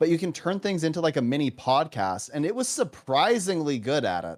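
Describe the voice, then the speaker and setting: In a Canadian accent, a man talks at a moderate pace. His fairly high pitch makes very wide swings. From Canada. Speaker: professor and gamer. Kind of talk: casual chat on a game livestream.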